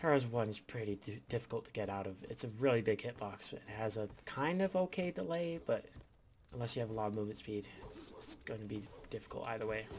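A man talks very fast at a medium pitch, his intonation lively. His voice is somewhat breathy. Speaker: gaming video creator. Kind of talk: gameplay commentary. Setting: home recording. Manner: stuttering.

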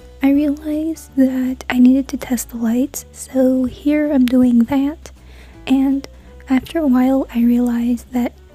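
Music in the background, a dry sound with no echo and a fairly slow pace. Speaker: craft vlogger. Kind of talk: casual vlog narration.

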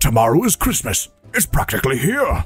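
A man speaks in a put-on character voice at a fairly high pitch and a fairly quick pace, with faint music in the background. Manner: snarling, sneering.

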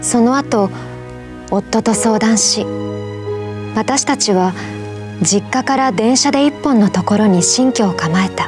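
A soft-spoken woman talks at a very slow pace with long, frequent pauses and very even loudness, in a dry sound with no echo, while clear music plays in the background. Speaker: voice actor. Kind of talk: emotional short story reading. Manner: soft, emotional narration. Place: studio.

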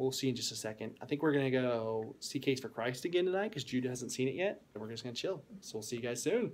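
Speaking at a very fast pace, a man leaves hardly any pauses. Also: lively intonation. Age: 20s. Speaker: youth pastor. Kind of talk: casual vlog talk to camera.

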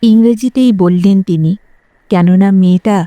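The clip features an unforced reading voice over a quiet background.

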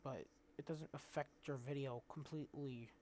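A man speaks quietly at a fairly slow pace, his dark, mellow tone carrying ordinary pitch variation. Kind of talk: casual screen-recording tutorial. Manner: hesitant, filler-heavy; quiet, low volume.

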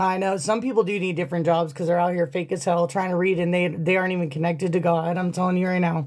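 With an animated tone, a woman talks very fast with hardly any pauses against a quiet background. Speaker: tarot reader. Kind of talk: live stream reading. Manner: casual, animated. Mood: confident, a bit scornful. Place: home room. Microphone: phone near.

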